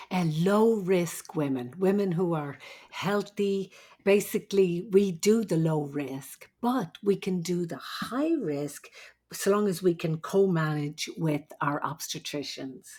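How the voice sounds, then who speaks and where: A woman's fairly low, dark, mellow voice in an Irish accent, very slow in pace, with lively intonation. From Ireland. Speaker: nurse midwife. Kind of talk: interview.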